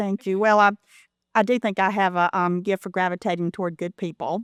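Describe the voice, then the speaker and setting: A woman with a Southern US accent speaks at a fairly quick pace and medium pitch with fairly even intonation. The sound is dry and close with no echo, a very clean recording with a silent background. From US South, Elberton, Georgia. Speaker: philanthropy consultant. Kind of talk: interview.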